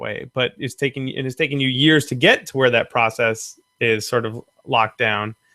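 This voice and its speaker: Speaking at a moderate pace, a man has an unremarkable speaking voice pitched in the medium range. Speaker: prop maker. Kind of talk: live-stream Q&A host.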